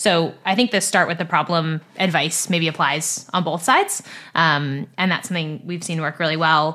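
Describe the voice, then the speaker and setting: Her tone bright and sharp, a woman with an American accent talks at a moderate pace, fairly low in pitch with fairly even intonation. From California, US. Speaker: agtech venture capital investor. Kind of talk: interview.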